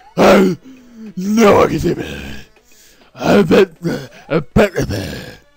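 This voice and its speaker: Over music in the background, a man in a put-on character voice speaks at a high pitch and a very slow pace, with long, frequent pauses. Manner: sneaky, mumbling.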